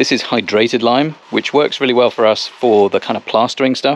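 At a fairly quick pace, a man speaks with ordinary pitch variation, the sound dry with no echo. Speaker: home renovator vlogger. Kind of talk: tutorial. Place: garden. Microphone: phone near.

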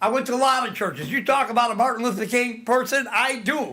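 A man speaks in a raised, projected voice at an extremely high pitch. His tone is bright and sharp, and his pace is fairly quick. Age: 60s. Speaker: public commenter at school board meeting. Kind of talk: public comment. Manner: rambling, halting.

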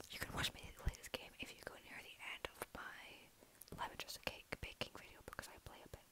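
In a whisper, a woman speaks. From Scotland. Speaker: ASMR and comedy YouTuber. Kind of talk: ASMR rambling to camera. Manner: whispered, soft, rambling. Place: home room. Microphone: earbuds.

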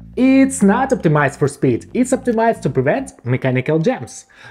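A man speaks in a playful tone with faint music in the background. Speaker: programmer and tech explainer. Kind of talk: casual tech explainer video narration. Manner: playful, humorous. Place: home room. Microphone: lapel.

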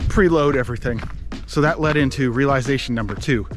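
A man's voice comes through with clear music behind it. There is no echo, and the sound stays dry. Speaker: vlogger. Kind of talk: casual vlog chat. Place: forest. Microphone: phone near.

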